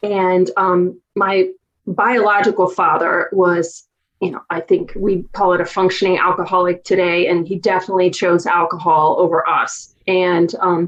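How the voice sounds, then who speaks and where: This woman's intonation is monotone and flat. She holds a medium pitch at a moderate pace. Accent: Virginia. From Virginia, US. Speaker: divorce strategist. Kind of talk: podcast interview.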